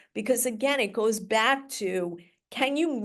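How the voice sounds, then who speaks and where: A woman with a fairly high pitch speaks against a quiet background. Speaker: special education lawyer. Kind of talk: webinar presentation. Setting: online webinar with translator. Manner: speaking slowly for translator.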